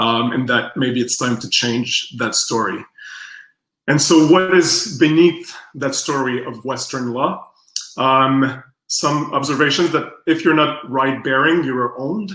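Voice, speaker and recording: A man speaks with a fairly high pitch and a bright, sharp tone. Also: ordinary pitch variation, fairly slow pace. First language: French. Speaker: strategic design researcher. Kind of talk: workshop presentation. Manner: halting.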